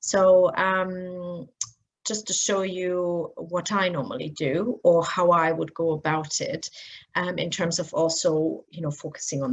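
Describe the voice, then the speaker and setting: A woman speaks at a fairly slow pace in a German accent. Her pitch is fairly low, with ordinary variation. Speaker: blogger and SEO trainer. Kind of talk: screen-share tutorial. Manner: casual, many filler words.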